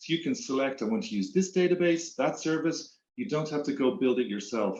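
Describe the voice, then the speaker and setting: A man with an Irish accent, fairly high in pitch, talking at a fairly quick pace. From Ireland. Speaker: tech executive. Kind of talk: interview.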